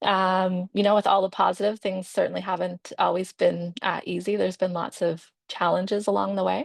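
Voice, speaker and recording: Speaking with a Maritimes accent at a fairly quick pace with hardly any pauses, a woman sounds dry and close with no echo, against a quiet background. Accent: Canadian English (Maritimes). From Nova Scotia, Canada. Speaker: physiotherapist and patient panelist. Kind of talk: personal introduction on webinar panel. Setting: video webinar. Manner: hesitant, many filler words.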